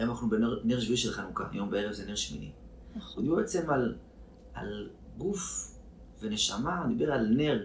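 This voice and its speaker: Noticeable background noise and audible room echo are present. A man talks at a moderate pace. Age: 30s. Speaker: actor and therapist. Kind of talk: casual interview.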